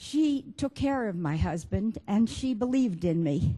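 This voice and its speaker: Very slowly, a woman speaks in a dark, mellow, somewhat breathy tone with very wide pitch swings. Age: 80s+. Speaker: documentary filmmaker. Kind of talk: speech to an audience.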